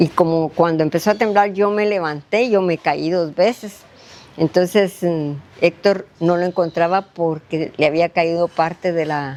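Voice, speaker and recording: Noticeable background noise behind a woman's fairly low voice, fairly slow in pace, with ordinary pitch variation. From Guatemala, Guastatoya. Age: 70s. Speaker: retired teacher, earthquake survivor. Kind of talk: testimony.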